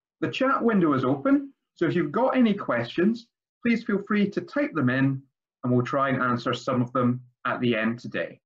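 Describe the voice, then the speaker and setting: The speaker has a Scottish accent and a moderate pace. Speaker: language school principal. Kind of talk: webinar introduction.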